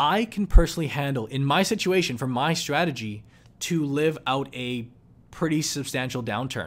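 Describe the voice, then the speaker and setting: Speaking in a Canadian accent, a man uses lively intonation and a fairly high pitch at a moderate pace. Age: 20s. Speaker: investing YouTuber. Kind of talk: casual talk-to-camera commentary. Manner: off-the-cuff, unscripted.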